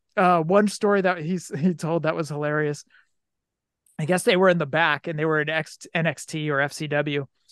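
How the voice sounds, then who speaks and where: An unremarkable speaking voice from a man, fairly even in intonation, at a moderate pace against a quiet background. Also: fairly high pitch for a man. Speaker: wrestling figure podcast host. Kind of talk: casual chat; reading aloud. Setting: video call.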